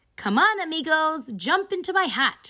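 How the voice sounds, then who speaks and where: A woman puts on a character voice at an extremely high pitch with very wide pitch swings. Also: moderate pace. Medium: read story.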